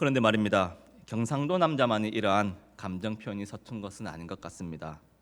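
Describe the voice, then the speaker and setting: On a very clean recording with a silent background, a man with a fairly low voice and a slight Gyeongsang accent speaks with big swings in loudness. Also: lively intonation, fairly quick pace. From South Korea, Gyeongsang region. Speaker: preacher. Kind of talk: sermon. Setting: church.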